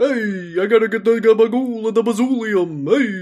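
A man in a put-on character voice, high-pitched, at a moderate pace. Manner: goofy, exaggerated.

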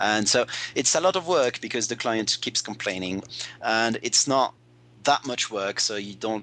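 A man's bright, sharp voice at medium pitch, with lively intonation and a moderate pace, over a quiet background. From French-speaking Switzerland. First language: French. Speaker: translator. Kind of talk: casual chat. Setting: remote call.

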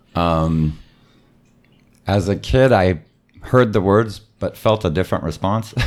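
A man with an American accent speaks at a fairly slow pace with a very deep, low pitch. His pitch varies in an ordinary way, and he takes long, frequent pauses. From San Diego, California. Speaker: improviser. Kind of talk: interview.

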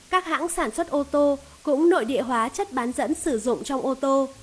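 A woman speaks with a high pitch at a moderate pace. Her pitch varies in an ordinary way. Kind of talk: audiobook reading of a business book. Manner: steady, even, formal narration.

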